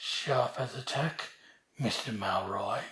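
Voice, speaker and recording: A raspy, put-on character voice sits at a low-to-middle pitch and moves at a fairly slow pace. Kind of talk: gothic confessional monologue. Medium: short film. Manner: measured, dryly ironic.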